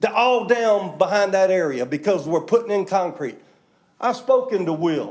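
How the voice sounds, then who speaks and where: The voice is loud and animated. Its intonation is lively. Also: man, high pitch for a man, moderate pace. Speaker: public commenter at county meeting. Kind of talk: public comment.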